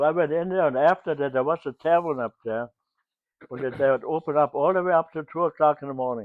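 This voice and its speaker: A man with a German accent talks very fast. His pitch is fairly high. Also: ordinary pitch variation. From Germany. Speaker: WWII eyewitness. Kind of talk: interview. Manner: halting.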